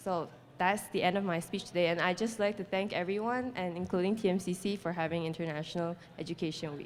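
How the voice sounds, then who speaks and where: A woman's medium-pitched voice with a non-native accent, very fast and with fairly even intonation. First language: not English. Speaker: international student panelist. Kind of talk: prepared speech.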